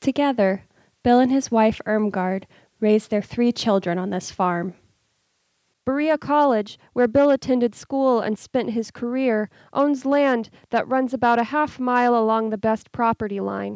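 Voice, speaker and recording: A woman with an American accent speaks in a normal speaking voice at a fairly high pitch, with ordinary pitch variation and a moderate pace. The sound is dry and close, with no echo. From Kentucky, US South. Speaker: podcast host and interviewer. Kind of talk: interview with scripted narration.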